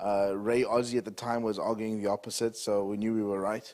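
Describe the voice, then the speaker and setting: A man speaks with a South African accent. His pace is fairly quick. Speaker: entrepreneur. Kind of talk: talk to an audience.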